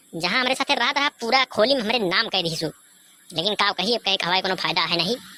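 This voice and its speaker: This is a put-on character voice with very wide pitch swings. The pace is moderate. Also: woman. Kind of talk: rustic comedy sketch. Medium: comedy sketch. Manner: grumbling, teasing.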